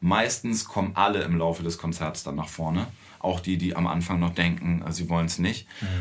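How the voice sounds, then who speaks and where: His voice sits very deep and low. This man talks at a moderate speed, his intonation fairly even. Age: 40s. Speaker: musician in a children's band. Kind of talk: casual interview.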